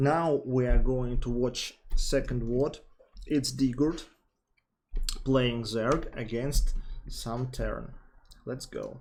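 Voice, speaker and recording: Very slowly and with long, frequent pauses, a man with a Russian accent speaks at a medium pitch with fairly even intonation. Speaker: StarCraft coach. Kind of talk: gameplay coaching commentary.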